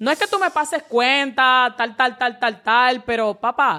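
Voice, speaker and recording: A woman's bright, sharp tone at a high pitch and fairly slow pace. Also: very clean recording, silent background. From Dominican Republic (Santo Domingo). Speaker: social media personality. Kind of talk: casual chat.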